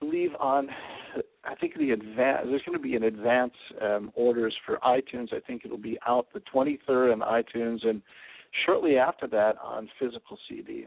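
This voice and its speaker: In a normal speaking voice at medium pitch, a man keeps a moderate pace. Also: ordinary pitch variation. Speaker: rock band musician. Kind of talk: live phone interview. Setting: phone call.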